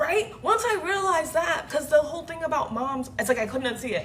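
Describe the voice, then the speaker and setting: A loud woman speaks at a moderate pace in an animated tone with lively intonation, with audible room echo and noticeable background noise. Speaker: livestreamer. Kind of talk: casual rant on livestream. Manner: animated, loud.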